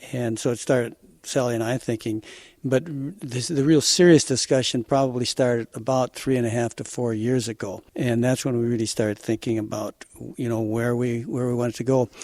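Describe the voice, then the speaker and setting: Dry and close with no echo, the recording has a man with a plain, everyday voice talking at a fairly quick pace, medium pitch and fairly even intonation. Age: 60s. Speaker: farmer. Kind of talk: interview.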